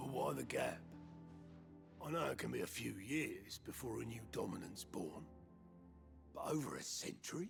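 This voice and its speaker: A man performs a raspy, put-on character voice at a moderate pace, with long, frequent pauses. Clear music is heard in the background. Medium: video game. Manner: blunt, dry.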